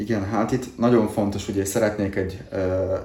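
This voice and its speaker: A man with a fairly low pitch and a dark, mellow, somewhat breathy tone speaks at a moderate pace in a monotone, flat way, with room echo audible. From southern Slovakia (Hungarian minority, Dunajská Streda area). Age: 30s. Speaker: salesperson. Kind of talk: interview.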